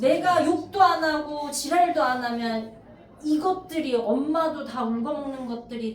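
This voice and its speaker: Amid noticeable background noise and audible room echo, a woman speaks fairly slowly in a high pitch with ordinary pitch variation. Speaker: math tutor at cram school. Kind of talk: lecture. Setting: classroom. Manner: deliberately slow.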